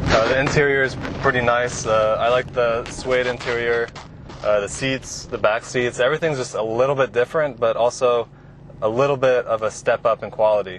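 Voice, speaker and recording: A man with fairly even intonation, dry sound with no echo, and light background noise. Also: fairly quick pace. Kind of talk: casual review commentary. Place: car.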